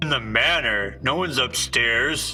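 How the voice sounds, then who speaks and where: A man does a put-on character voice at a moderate pace. Clear music plays in the background. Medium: actual play.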